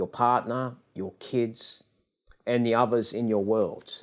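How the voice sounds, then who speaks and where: Speaking at a fairly slow pace, a man with an Australian accent has a medium pitch. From Australia, Western Sydney. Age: 60s. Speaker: business leader and author. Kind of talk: interview.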